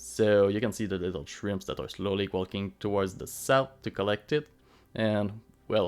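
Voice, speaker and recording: On a very clean recording with a silent background, a man with a non-native accent speaks at a moderate pace in a fairly low voice with ordinary pitch variation. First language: not English. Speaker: gaming YouTuber. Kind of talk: game commentary voiceover. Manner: halting, with fillers.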